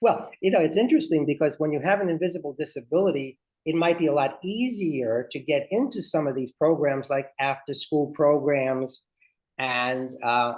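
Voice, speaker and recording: A man with a Brooklyn accent, fairly high in pitch, lively in intonation, at a moderate pace. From Brooklyn, New York. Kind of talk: interactive workshop.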